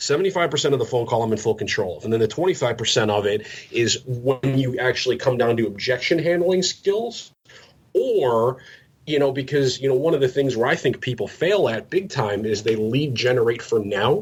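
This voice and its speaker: A man with a somewhat breathy, medium-pitched voice talks at a fairly quick pace with lively intonation. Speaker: real estate agent and cold-calling trainer. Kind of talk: podcast interview with live sales-call role play. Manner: fast-talking.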